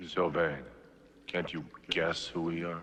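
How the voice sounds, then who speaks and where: Speaking at a fairly slow pace, a man uses a put-on character voice with a very deep, low pitch. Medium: short film. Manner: solemn, probing.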